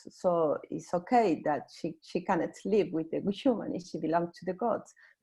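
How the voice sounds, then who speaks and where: This woman speaks in a fairly low, dark and mellow voice with ordinary pitch variation and a non-native accent. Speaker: seminar participant. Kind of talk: academic discussion. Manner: halting, many fillers.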